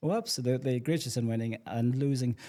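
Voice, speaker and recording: Very fast delivery in a dark, mellow tone with fairly even intonation. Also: man. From Ireland, County Cork. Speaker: community development officer. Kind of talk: casual chat. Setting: on location at a community complex.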